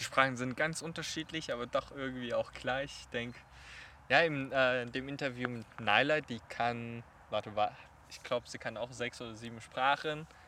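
This man has a bright, sharp tone at medium pitch and a moderate pace. His intonation is fairly even, but his loudness swings widely. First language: Chinese (speaking German). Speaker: podcast host. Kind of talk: casual interview. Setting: outdoors in a park.

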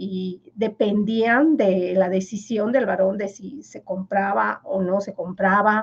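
A woman's somewhat breathy, medium-pitched voice with a Yucatán accent, very slow and nearly pauseless, its intonation fairly even but its loudness swinging widely. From Yucatán, Mexico (Maya village). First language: Yucatec Maya (speaking Spanish). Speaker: finance professor. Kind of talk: interview.

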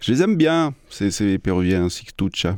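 With a French accent, a man speaks in a dark, mellow tone at a fairly low pitch, his voice moving through very wide pitch swings. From France (Strasbourg, Alsace). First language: French (speaking Spanish). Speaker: radio host. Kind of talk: radio music show presenting. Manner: casual and animated.

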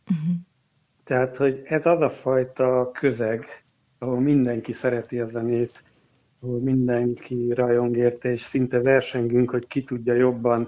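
Fairly slow and flat, a man talks in a monotone. His voice sits at a medium pitch. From eastern Hungary. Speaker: organist and music teacher. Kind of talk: interview.

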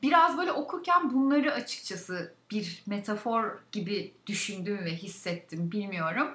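A woman talks at a fairly slow pace, her pitch swinging very widely, over noticeable background noise. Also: medium pitch for a woman, hardly any pauses. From Turkey, Balıkesir province. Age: 30s. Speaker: podcast co-host. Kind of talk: casual chat.

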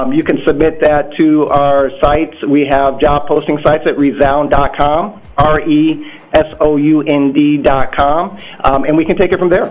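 With music in the background, a man with an American accent speaks at a fairly slow pace in a fairly high, flat monotone, his loudness very even. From Iowa. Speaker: company director. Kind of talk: radio interview. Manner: hesitant with fillers.

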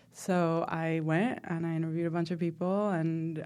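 In a very clean recording with a silent background, a woman speaks with a Spanish accent at a fairly slow pace. Her tone is dark and mellow, and her pitch is fairly low. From Venezuela (Caracas), moved to the US at sixteen. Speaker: professor and filmmaker. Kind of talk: interview. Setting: studio.

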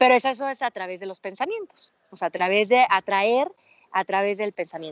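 A woman with a Mexican accent, medium pitch and ordinary pitch variation. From Mexico, Aguascalientes. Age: 30s. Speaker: mountaineer and business coach. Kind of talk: interview.

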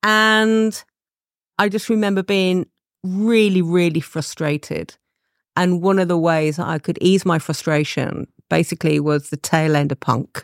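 Her fairly low pitch and ordinary pitch variation come through on a very clean recording with a silent background and a dry, close sound with no echo, spoken by a woman. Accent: East Midlands. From England, Leicester. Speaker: advertising creative director. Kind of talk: interview.

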